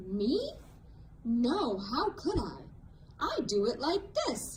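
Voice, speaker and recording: Against clear background noise, a female-sounding voice in a put-on character voice speaks at a very slow pace with a high pitch. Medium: read story.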